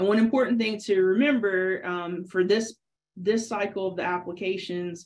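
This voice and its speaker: The speaker is a woman. Her intonation is fairly even. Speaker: dairy extension specialist; presenter. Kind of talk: webinar tutorial. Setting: video call. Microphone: webcam.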